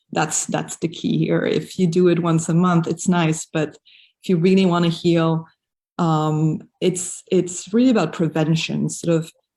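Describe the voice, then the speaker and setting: Speaking with a slight non-native accent, a woman uses a dark, mellow, somewhat breathy tone at a fairly low pitch, with fairly even intonation and very even loudness. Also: fairly slow pace. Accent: slight foreign. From raised in Africa, mostly French-speaking countries; German. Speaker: yoga teacher. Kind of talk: interview. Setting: live video stream.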